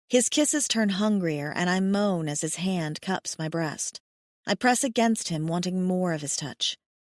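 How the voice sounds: Quiet surroundings and a natural reading voice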